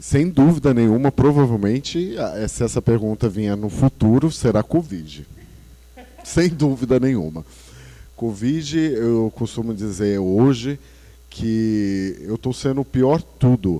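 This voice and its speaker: Very slowly, a man speaks at a medium pitch with a dark, mellow tone and lively intonation. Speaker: nurse. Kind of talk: casual chat.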